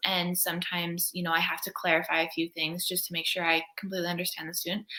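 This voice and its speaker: A Canadian accent over noticeable background noise. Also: woman. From Canada. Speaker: co-op student. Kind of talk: casual interview.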